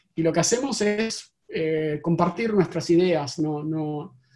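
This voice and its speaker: A fairly slow delivery in an Argentine accent. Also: man. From Argentina. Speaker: tech company CEO. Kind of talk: interview. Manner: halting.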